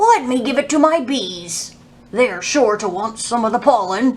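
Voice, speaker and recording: A woman's put-on character voice, high in pitch. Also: moderate pace. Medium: read story.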